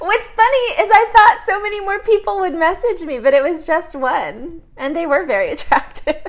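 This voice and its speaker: With hardly any pauses and very wide pitch swings, a woman speaks at a moderate pace in an extremely high pitch over noticeable background noise. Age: 30s. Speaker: podcast co-host. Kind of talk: casual chat.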